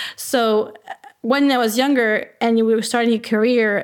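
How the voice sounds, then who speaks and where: A woman's fairly high voice, monotone and flat, in a French Canadian accent. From Quebec. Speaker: remote workplace strategy consultant. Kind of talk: podcast interview. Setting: remote call.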